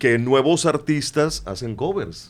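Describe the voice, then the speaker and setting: On a very clean recording with a silent background, a man speaks at a very slow pace with medium pitch. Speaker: radio announcer. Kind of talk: interview answer.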